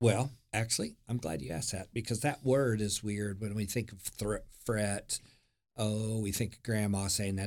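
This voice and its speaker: With an American accent, a man speaks at a fairly low pitch and moderate pace, his pitch varying in an ordinary way. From Oklahoma, US. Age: 60s. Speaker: former pastor and youth director. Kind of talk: casual interview chat. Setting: studio.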